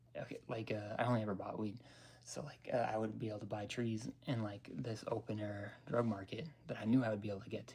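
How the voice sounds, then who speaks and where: A man with an American accent speaks very fast in a fairly low voice with fairly even intonation. Music plays in the background. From Denver, Colorado. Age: 30s. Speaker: vlogger. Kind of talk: casual chat. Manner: rambling with many fillers.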